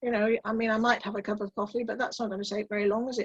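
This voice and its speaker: A woman speaks very fast at a fairly high pitch, somewhat breathy. Her intonation is monotone and flat. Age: 70s. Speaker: electric car driver. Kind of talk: interview.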